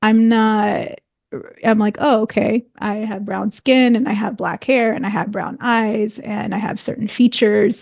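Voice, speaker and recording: A woman with an American accent speaks at a fairly high pitch. Her delivery is fairly slow, in a monotone, flat intonation. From United States. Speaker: podcast host. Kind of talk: interview.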